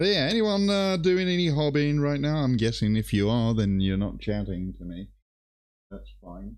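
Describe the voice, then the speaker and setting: A man with a British accent, medium in pitch, at a moderate pace, with very wide pitch swings and big swings in loudness. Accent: quite British. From Greece. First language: Greek. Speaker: miniature painter and streamer. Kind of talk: casual chat.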